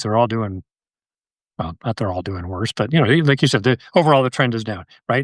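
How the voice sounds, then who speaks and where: A man speaks in a normal speaking voice with an American accent, at medium pitch with ordinary pitch variation. The background is quiet, and the sound is dry and close with no echo. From Connecticut, US. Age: 60s. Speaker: wildlife biologist and conservationist. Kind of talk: casual podcast interview.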